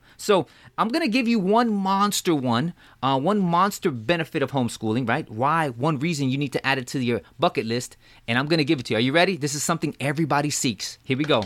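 A man's fairly high voice with lively intonation at a very fast pace, in a very clean recording with a silent background. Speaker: podcast host. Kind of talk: casual podcast chat.

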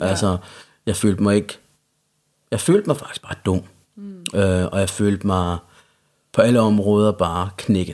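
Speaking with a Jutlandic accent, a man with a fairly low pitch keeps a fairly even intonation, with long, frequent pauses and big swings in loudness. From Central Jutland, Denmark. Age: 30s. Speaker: recovering addict. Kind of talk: casual chat.

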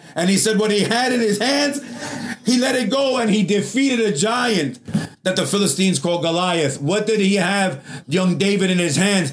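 A man's high-pitched voice with lively intonation and very even loudness, at a moderate pace over noticeable background noise. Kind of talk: sermon. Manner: fervent, call-and-response preaching, urging the congregation to answer amen; bold, exhortative and encouraging, punchy short lines.

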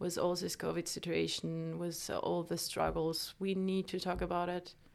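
A woman speaks with a French accent. Her pace is moderate. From France. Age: 20s. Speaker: podcast host. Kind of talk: casual monologue. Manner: halting.

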